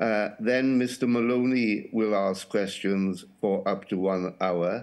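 Fairly low-pitched male voice with ordinary pitch variation. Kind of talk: formal procedural statement. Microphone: video call.

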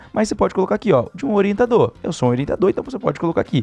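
An animated man's voice sweeps through very wide pitch swings. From Brazil. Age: 20s. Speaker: online money-making YouTuber. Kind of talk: screen-share tutorial. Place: home room. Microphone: studio mic.

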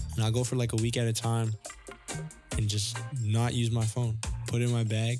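A soft-spoken man talks at a moderate pace. Music plays in the background. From Toronto, Canada. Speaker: photographer. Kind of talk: interview answer. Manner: soft-spoken, shy.

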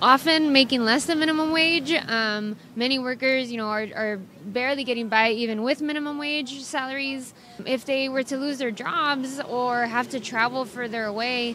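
A woman's raised, projected voice at a moderate pace with fairly even intonation, dry with no echo, over light background noise. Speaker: interviewee. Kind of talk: interview answer. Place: street. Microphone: handheld.

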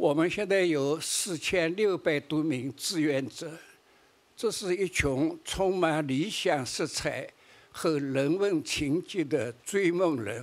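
A man speaks at a very slow pace in a fairly high pitch. His pitch varies in an ordinary way. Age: 80s+. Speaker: charity founder and leader. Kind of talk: award acceptance speech. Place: stage. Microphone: podium.

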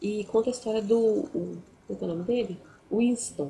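The voice has a dark, mellow tone and sounds somewhat breathy. Light background noise sits behind it. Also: woman. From Brazil. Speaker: book youtuber. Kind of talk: book review vlog. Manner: halting. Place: home room. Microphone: webcam.

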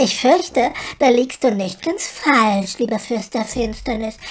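At a fairly slow pace, a man puts on a character voice with an extremely high pitch. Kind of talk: comedy audio drama.

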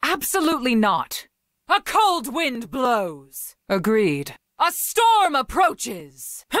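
In a very clean recording with a silent background, a woman uses a put-on character voice, pitched high and swinging very widely, at a very slow pace. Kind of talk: video game character voice lines. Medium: video game. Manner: stern, commanding.

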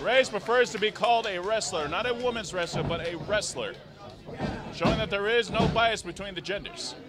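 Against noticeable background noise, a man talks at a fairly quick pace with a high pitch and ordinary pitch variation. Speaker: wrestling commentator. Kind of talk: live wrestling commentary.

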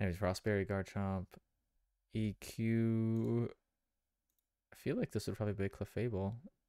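Quiet and dark, mellow in tone, a man speaks with fairly even intonation and long, frequent pauses, his sound dry and close with no echo on a very clean recording with a silent background. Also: moderate pace. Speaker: video game streamer. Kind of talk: live gameplay commentary and chat. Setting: live stream. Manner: quiet, subdued; hesitant, many fillers.

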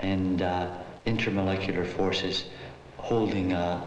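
A man's very deep, low voice, with light background noise and audible room echo. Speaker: volunteer science teacher. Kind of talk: documentary narration, interview-style reflection.

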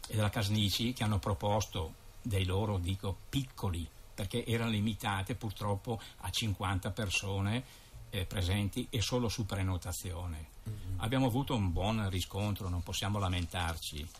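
A man with a fairly low voice speaks at a moderate pace with ordinary pitch variation. Music plays in the background. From Lombardy, northern Italy. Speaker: president of a local tourist association. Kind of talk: casual radio interview. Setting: radio studio. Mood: calm, matter-of-fact. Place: studio.

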